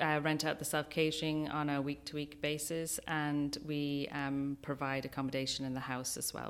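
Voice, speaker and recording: A woman with an Irish accent speaks at a moderate pace in a very deep, low pitch. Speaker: wedding venue owner. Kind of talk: radio interview. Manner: hesitant, many fillers.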